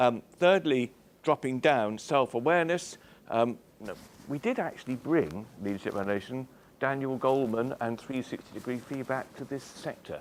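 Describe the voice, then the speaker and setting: A man with a British accent speaks at a medium pitch and a moderate pace. His intonation is lively. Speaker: chief executive giving a talk. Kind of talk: speech to an audience.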